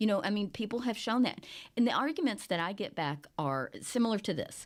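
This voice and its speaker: Over a very clean, silent background, a woman talks at a fairly quick pace with vocal fry and very wide pitch swings. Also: fairly high pitch for a woman. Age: 60s. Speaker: newspaper editor and podcast host. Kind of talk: casual podcast chat.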